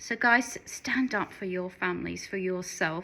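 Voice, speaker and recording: With an Australian accent, a woman speaks fairly slowly in a medium pitch and a bright, sharp tone. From Western Australia. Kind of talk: casual talk to camera. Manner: earnest, encouraging.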